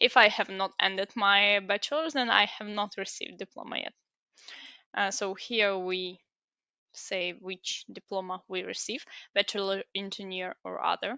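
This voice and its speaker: A woman with a Ukrainian accent speaks at a moderate pace in a bright, sharp tone, with a medium pitch and ordinary pitch variation. The sound is dry and close with no echo, over a quiet background. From Ukraine. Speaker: student giving application walkthrough. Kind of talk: tutorial. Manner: halting.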